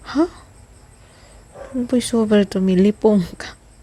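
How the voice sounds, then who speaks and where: This woman's tone is dark and mellow. Some breathiness runs through her voice. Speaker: vlogger. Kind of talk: cooking vlog. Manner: playful.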